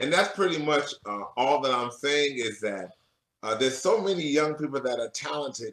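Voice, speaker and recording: A man with a fairly high pitch and lively intonation speaks at a moderate pace in an ordinary speaking voice. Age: 50s. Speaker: professor and church musician. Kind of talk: interview. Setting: radio show.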